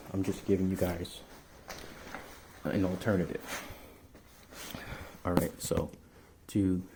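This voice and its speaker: A soft-spoken man with a very deep, low pitch and a dark, mellow tone, somewhat breathy, at a fairly slow pace with long, frequent pauses. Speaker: motorcycle owner, amateur mechanic. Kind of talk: motorcycle repair tutorial. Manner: quiet, soft-spoken.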